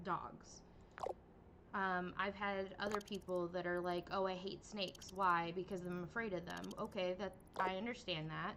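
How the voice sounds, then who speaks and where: A woman speaks with fairly even intonation. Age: 30s. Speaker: vtuber game streamer. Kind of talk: casual livestream chat. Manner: hesitant, many fillers.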